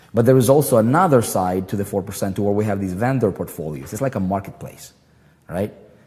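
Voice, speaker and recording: Fairly quick speech from a man with a fairly low pitch and ordinary pitch variation, music in the background. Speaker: online marketing coach. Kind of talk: livestream talk to members. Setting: live stream. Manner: animated; halting, many fillers and repeats.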